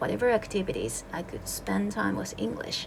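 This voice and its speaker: The speaker is a woman with a Japanese accent, talking at a moderate pace. There is noticeable background noise. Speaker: English teacher. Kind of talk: casual video introduction. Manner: casual, relaxed.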